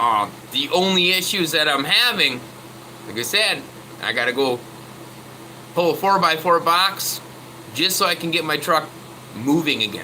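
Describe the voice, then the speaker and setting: A loud man with a high pitch speaks at a moderate pace, using lively intonation. Long, frequent pauses break up his speech, and noticeable background noise runs underneath. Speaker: truck mechanic vlogger. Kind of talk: casual tutorial chat. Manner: halting.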